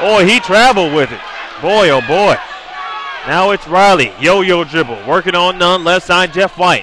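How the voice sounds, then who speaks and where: A man talks at a moderate pace with a high pitch and ordinary pitch variation. Noticeable background noise runs behind him. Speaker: play-by-play commentator. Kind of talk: live commentary. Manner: loud; animated.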